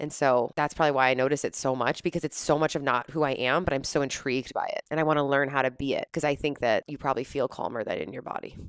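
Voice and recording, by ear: A woman talks at a fast pace with few pauses, her pitch extremely low and its variation ordinary. The tone is clear and smooth, and the sound is dry and close with no echo.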